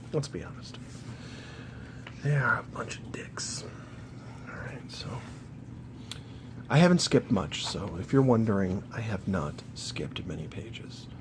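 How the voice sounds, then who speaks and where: Over noticeable background noise, a man at a medium pitch speaks fairly slowly with lively intonation, long and frequent pauses, and big swings in loudness. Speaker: gaming YouTuber. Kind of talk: casual talk to camera, art book flip-through.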